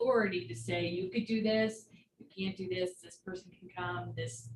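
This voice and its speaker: A woman is speaking. Her voice sits fairly low in pitch. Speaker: county supervisor. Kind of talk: public meeting. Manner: loud.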